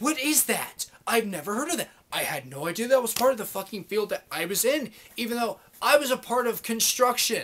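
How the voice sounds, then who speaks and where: An animated man's voice, extremely high in pitch, with lively intonation and a fairly quick pace. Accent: American. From US Midwest, Columbus, Ohio. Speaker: vlogger, former electrician. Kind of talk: angry rant monologue. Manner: animated, heavy swearing.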